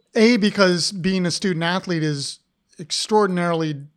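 The speech moves at a fairly slow pace with ordinary pitch variation, captured on a very clean recording with a silent background. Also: man. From Ohio. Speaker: podcast host, art professor. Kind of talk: casual interview chat. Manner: halting, many restarts.

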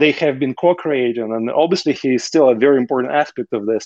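A man with a Russian accent talks at a very fast pace and medium pitch, with ordinary pitch variation. The sound is dry and close, with no echo. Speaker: entrepreneur. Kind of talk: casual interview conversation.

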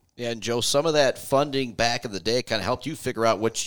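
A man with an American accent rattles along at a very fast pace on a very clean recording against a silent background. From Michigan. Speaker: radio host. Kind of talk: casual interview.

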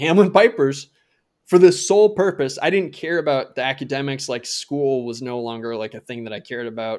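An unremarkable speaking voice, this man talks at a fairly quick pace and fairly high pitch with an American accent, lively intonation and big swings in loudness. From Minnesota. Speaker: podcast co-host, former baseball player and comedy writer. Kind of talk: casual chat.

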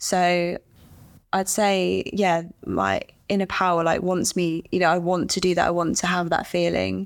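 A woman with an English accent speaks at a fairly slow pace and a fairly low pitch, her intonation monotone and flat and her loudness very even, in a very clean recording with a silent background. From England. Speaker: professional golfer. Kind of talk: casual chat.

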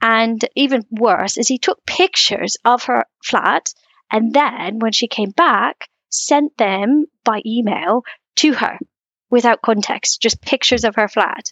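Speaking fairly slowly, a woman with a plain, everyday voice stays fairly high in pitch, varying it in an ordinary way. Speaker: guest. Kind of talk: casual chat.

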